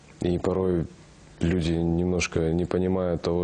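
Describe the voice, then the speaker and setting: A man talks at a moderate pace. His voice sits very deep and low. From Kazakhstan. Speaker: actor. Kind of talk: interview. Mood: relaxed, reflective. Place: studio. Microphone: lapel.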